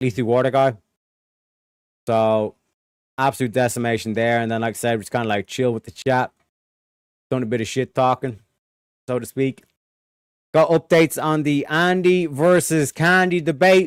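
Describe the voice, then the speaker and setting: A man with an Irish accent speaks at a moderate pace and medium pitch, with lively intonation and long, frequent pauses, in a dry, close sound with no echo. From Ireland. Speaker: streamer. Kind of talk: casual chat.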